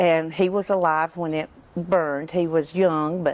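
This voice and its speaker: In a Southern US accent, a woman speaks with a very deep, low pitch and fairly even intonation. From US South, upstate South Carolina. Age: 60s. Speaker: local resident. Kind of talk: interview.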